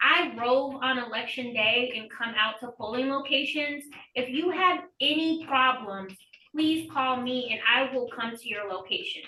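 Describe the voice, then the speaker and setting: Raising and projecting her high-pitched voice, a woman speaks at a fairly slow pace. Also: ordinary pitch variation. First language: Spanish. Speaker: election official. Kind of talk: Q&A on a group call.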